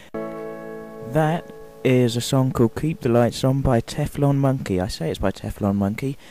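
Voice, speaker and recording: A man speaks at a medium pitch with music in the background. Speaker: radio presenter. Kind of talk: radio show presenter link. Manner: humorous, chatty.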